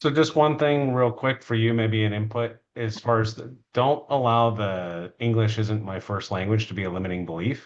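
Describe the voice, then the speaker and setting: In an unremarkable speaking voice, a man with an American accent talks at a moderate pace and medium pitch with ordinary pitch variation. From United States. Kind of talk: casual chat.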